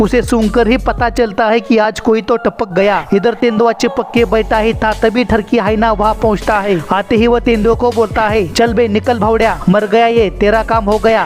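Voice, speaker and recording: Music plays behind a man speaking in a high, flat monotone. His loudness stays very even, and he hardly pauses. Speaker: voice-over artist. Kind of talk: comedic wildlife video narration.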